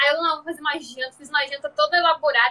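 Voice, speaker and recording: A woman's raised, projected voice has a bright, sharp tone. She talks at a very fast pace. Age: 20s. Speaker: podcast host and social media creator. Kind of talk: casual chat.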